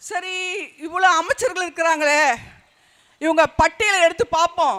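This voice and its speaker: Raised and projected, a man's extremely high, bright, sharp voice comes across dry and close with no echo. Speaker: party speaker. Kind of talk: political rally speech.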